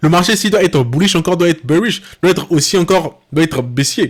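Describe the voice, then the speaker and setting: Lively intonation marks this man's high-pitched speech, delivered at a fairly quick pace. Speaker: trading educator. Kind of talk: tutorial. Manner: fast; halting.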